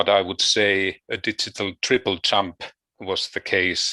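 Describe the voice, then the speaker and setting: Against a quiet background, a man with a Finnish accent speaks in a bright, sharp, fairly low voice, recorded dry and close with no echo. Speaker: education researcher. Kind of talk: conference presentation. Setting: video call. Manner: halting.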